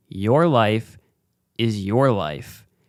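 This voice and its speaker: In a very clean recording with a silent background, a man speaks at a very slow pace. His medium-pitched voice has lively intonation. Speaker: podcast host. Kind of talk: casual monologue. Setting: home recording with camera. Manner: slow, deliberate. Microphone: new mic setup.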